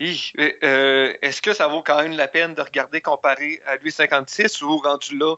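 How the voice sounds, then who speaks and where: A plain, everyday voice from a man, fairly high in pitch, at a fairly slow pace with hardly any pauses. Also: fairly even intonation. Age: young. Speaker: film reviewer. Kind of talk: casual chat.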